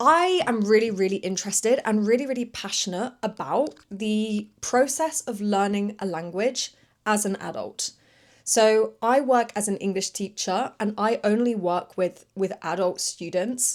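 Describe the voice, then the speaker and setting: A woman with a British accent and a fairly high pitch, at a fairly slow pace. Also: ordinary pitch variation, very clean recording, silent background. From UK. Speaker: English teacher and podcast host. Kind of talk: educational podcast monologue. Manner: clear, moderate pace for learners.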